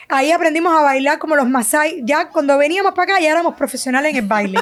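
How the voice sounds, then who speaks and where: A woman's high-pitched voice at a very fast pace, with lively intonation, very even loudness and noticeable background noise. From Cuba, Havana. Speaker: sonographer and business owner. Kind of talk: testimony interview.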